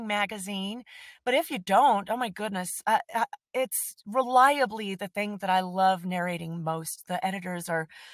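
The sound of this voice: An unforced reading voice with ordinary pitch variation against a quiet background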